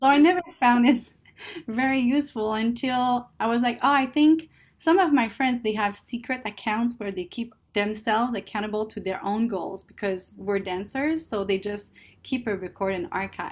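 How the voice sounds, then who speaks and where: A woman with a French Canadian accent and a fairly high voice speaks in a very clean recording with a silent background. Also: ordinary pitch variation, moderate pace. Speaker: guest, Chinese learner and sociologist. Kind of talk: interview, casual conversation. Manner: laid-back, hesitant, often laughing.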